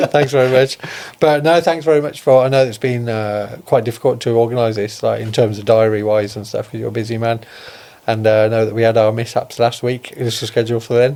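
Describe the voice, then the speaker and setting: A man with a Birmingham accent and a dark, mellow tone speaks at a fairly quick pace with fairly even intonation. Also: medium pitch for a man. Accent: Birmingham (Brummie) English. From Birmingham, England (Solihull). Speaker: podcast host. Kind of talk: podcast interview.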